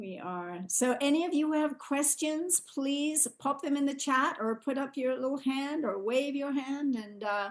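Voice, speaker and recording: Delivery is at a fairly slow pace, with hardly any pauses. The intonation is lively. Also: woman, high pitch for a woman. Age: 60s. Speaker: co-host of a product call. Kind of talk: testimony.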